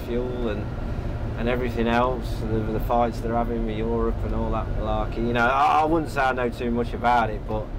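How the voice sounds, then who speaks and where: Noticeable background noise runs under a man speaking at a fairly quick pace. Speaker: interviewee driving tractor. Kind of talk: interview answer. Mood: relaxed, friendly. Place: farm machine. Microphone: lapel.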